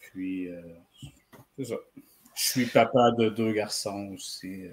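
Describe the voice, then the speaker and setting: A man with a Quebec accent, fairly low in pitch, speaking at a very slow pace with fairly even intonation and big swings in loudness. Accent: Québécois. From Quebec, Trois-Rivières (Mauricie). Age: 40s. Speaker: comics reader. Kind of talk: casual interview.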